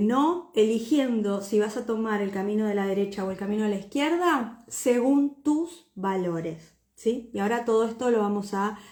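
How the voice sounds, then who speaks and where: Somewhat breathy and fairly high in pitch, a woman speaks at a fairly slow pace with lively intonation. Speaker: personal branding mentor. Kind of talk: livestream talk. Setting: live video stream. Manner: hesitant, many fillers.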